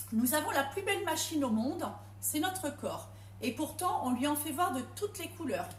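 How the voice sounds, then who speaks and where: There is audible room echo and noticeable background noise. A woman is speaking. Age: 40s. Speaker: home cook and product seller. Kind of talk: testimony. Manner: hesitant.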